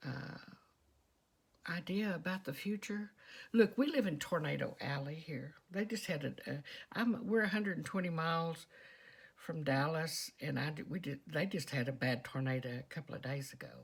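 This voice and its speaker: In a strong Texas accent, a woman talks with a very deep, low pitch, a somewhat breathy voice, and lively intonation. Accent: strong Texas southern drawl. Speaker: vlogger. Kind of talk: casual monologue. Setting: quiet storeroom at home.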